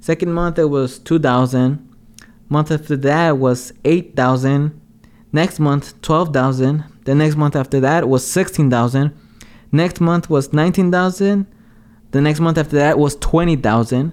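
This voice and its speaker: Very slow delivery with fairly even intonation and very even loudness. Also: man, fairly high pitch for a man. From Los Angeles, South Central (moved from Mexico age 6). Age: 20s. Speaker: entrepreneur, podcast co-host. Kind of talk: casual chat.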